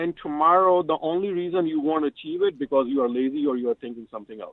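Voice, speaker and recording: Fairly quick and lively in intonation, a man talks at a high pitch. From Pakistan. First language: not English. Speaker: civil engineer. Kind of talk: radio interview.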